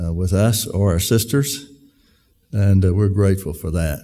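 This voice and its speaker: Very deep and low, a man's somewhat breathy voice has a dark, mellow tone, ordinary pitch variation and a fairly slow pace. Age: 70s. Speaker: event speaker, brother of company owner. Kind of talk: speech to employees. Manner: halting, many fillers.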